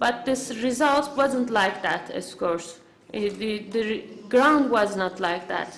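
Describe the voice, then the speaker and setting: A woman speaks at a very slow pace with lively intonation. Noticeable background noise and audible room echo surround her voice. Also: fairly high pitch for a woman. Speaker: conference interpreter or symposium speaker. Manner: halting, many fillers and restarts.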